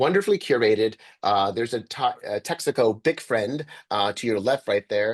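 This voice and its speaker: Against a quiet background, a man with an American accent speaks at a moderate pace and medium pitch with lively intonation, in a dry, close sound with no echo. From US Northeast, Sleepy Hollow, New York. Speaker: journalist and author. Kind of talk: interview over video call. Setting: video call. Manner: many filler words and hesitations.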